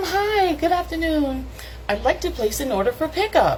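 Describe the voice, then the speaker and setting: A put-on character voice, high-pitched, at a moderate pace over clearly audible background noise. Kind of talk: professional, polite office voice. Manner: kind, sweet.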